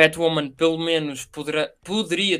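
In a European Portuguese accent, the speaker talks at a fairly slow pace with a bright, sharp tone. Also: man. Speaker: podcast co-host. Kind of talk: casual chat.

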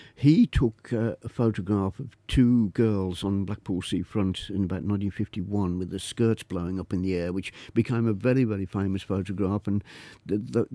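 A man speaks at a moderate pace with a fairly low pitch, a dark, mellow tone and fairly even intonation. The sound is dry and close with no echo, and the recording is very clean with a silent background. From Birmingham, England (Quinton). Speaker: photographer. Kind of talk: radio interview. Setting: radio studio.

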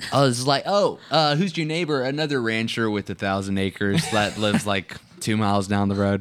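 A man with an unremarkable speaking voice talks at a fairly quick pace, his medium-pitched delivery full of lively intonation. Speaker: family podcast host. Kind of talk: casual chat. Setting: studio.

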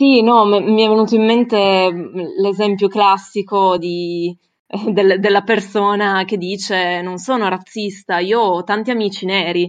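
Speaking at a fairly slow pace, a woman with an unremarkable speaking voice sits at a medium pitch. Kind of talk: discussion contribution. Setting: video call.

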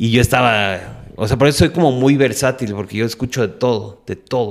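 A plain, everyday voice belongs to a man speaking at a fairly quick pace, medium in pitch with ordinary pitch variation. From Mexico City. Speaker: bass player and entrepreneur. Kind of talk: interview conversation.

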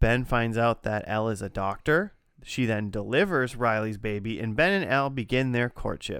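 At a moderate pace, a man talks in a normal speaking voice with medium pitch and ordinary pitch variation, on a very clean recording with a silent background. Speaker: podcast host. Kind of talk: casual banter.

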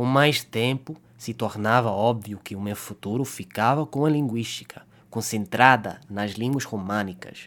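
A man at medium pitch, with ordinary pitch variation and a fairly slow pace. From Canada. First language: English (speaking Portuguese). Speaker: linguistics student. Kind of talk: scripted narration.

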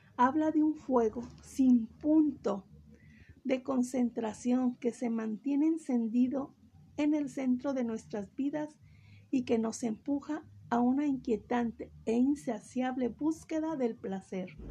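Her voice high-pitched with a dark, mellow tone, a woman speaks at a very slow pace. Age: 50s. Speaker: religious program host, theology graduate. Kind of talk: lecture.

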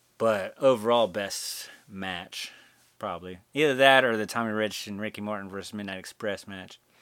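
A man's normal speaking voice, fairly low-pitched, at a moderate pace with fairly even intonation and big swings in loudness. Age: 30s. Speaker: podcast host. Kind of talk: casual solo monologue. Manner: casual, laid-back.

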